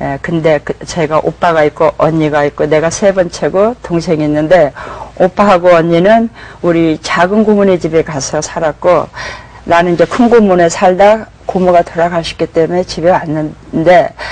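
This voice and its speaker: Amid noticeable background noise, a woman with a fairly low pitch speaks at a moderate pace with fairly even intonation. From South Korea. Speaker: pastor. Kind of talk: testimony. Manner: halting.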